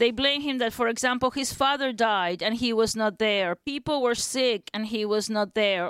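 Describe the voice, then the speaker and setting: On a very clean recording with a silent background and a dry, close sound with no echo, a woman with a Uruguayan accent speaks at a moderate pace and fairly high pitch. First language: Spanish. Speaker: academic specializing in Uruguayan theater. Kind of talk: interview.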